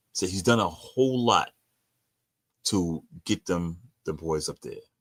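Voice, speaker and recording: A man with a New York accent, in a dry, close sound with no echo, on a very clean recording with a silent background. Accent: New York (Bronx). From New York, the Bronx. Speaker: sports podcast host. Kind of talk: casual sports commentary. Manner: stuttering.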